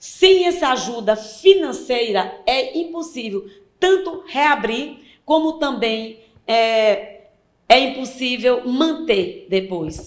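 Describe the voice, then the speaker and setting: Speaking very slowly, a woman with a high voice swings her pitch very widely. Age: 60s. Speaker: cultural association president. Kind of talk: interview.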